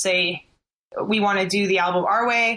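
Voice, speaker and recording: A woman at medium pitch, bright, sharp tone, moderate pace. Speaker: band member. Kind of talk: casual interview.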